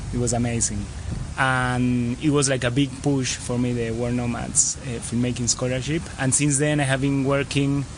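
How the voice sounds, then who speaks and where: In a Spanish accent, a man speaks in a flat monotone, with noticeable background noise and audible room echo. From Argentina, Buenos Aires. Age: 30s. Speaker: travel filmmaker. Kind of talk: interview. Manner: halting.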